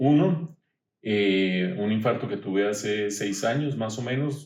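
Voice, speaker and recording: A man with a fairly low voice speaks at a very slow pace. His intonation is lively. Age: 60s. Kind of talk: podcast interview.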